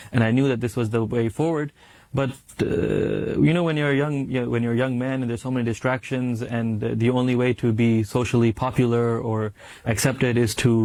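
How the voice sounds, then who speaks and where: Fairly even intonation marks this man's medium-pitched voice, with a New York accent. He moves at a fairly quick pace. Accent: New York American. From US, New York. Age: 20s. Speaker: graduate student in Islamic studies. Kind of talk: interview testimony. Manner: halting.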